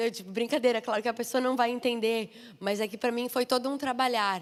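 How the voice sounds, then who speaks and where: A woman with a high pitch speaks at a fairly quick pace with fairly even intonation. The recording is very clean, with a silent background. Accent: southern Brazilian. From southern Brazil. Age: 30s. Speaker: missionary and preacher. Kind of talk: sermon. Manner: informal, chatty.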